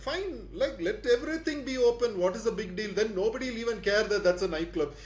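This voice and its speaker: Loud and very fast, a man talks with a high pitch. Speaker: podcast host. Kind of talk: casual discussion. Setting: home room, soundproofed.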